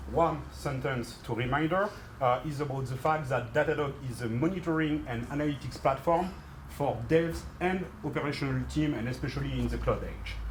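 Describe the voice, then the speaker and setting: A man with a French accent at a moderate pace, with audible room echo and noticeable background noise. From France. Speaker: tech company partnerships manager. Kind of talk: workshop presentation.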